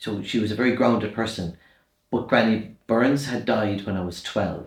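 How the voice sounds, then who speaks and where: With a strong Irish accent, a man talks at a moderate pace in a fairly low, somewhat breathy voice and fairly even intonation. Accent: Irish, kept strong despite years in London. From Ireland, rural midlands and west. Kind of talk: interview, life story.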